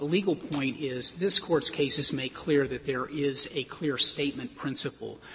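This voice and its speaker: Over light background noise, a man with a fairly high pitch talks at a moderate pace with ordinary pitch variation. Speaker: lawyer arguing before the court. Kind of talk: oral argument. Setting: courtroom. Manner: formal. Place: hall.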